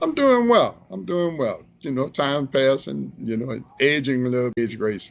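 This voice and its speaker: A man talks with a New Orleans accent at a moderate pace. He hardly pauses at all. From New Orleans, Lower Ninth Ward. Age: 60s. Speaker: relationship advice columnist and photographer. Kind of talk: casual interview. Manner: halting, many fillers.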